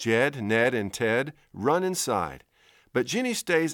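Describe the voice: What comes through is plain reading aloud.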